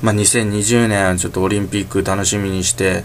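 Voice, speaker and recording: A man's fairly low-pitched voice at a fairly quick pace, with noticeable background noise. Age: 20s. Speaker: solo podcaster. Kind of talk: casual monologue. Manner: halting.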